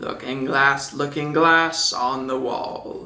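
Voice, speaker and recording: Using a put-on character voice at a low-to-middle pitch, the speaker talks at a very slow pace. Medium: read story.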